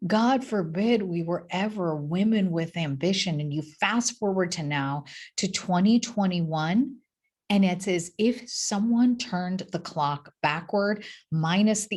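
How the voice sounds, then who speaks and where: Speaking at a fairly slow pace with an American accent, a woman uses a medium pitch, lively intonation and an animated tone, her voice somewhat breathy. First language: not English. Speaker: physician and motivational speaker. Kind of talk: keynote talk. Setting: recorded video in her office.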